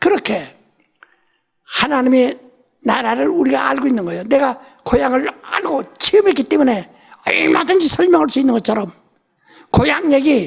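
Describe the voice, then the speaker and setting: With long, frequent pauses, a woman speaks at a moderate pace in a high pitch and very wide pitch swings. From South Korea, Ulsan. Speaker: pastor. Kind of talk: sermon.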